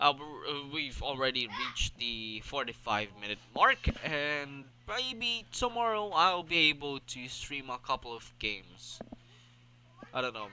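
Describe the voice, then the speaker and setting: A man with a non-native accent speaks at a fairly slow pace and a fairly high pitch. His pitch swings very widely, and his loudness rises and falls sharply. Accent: noticeable non-native. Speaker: gaming streamer. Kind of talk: casual solo podcast stream. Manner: halting, many fillers and repetitions.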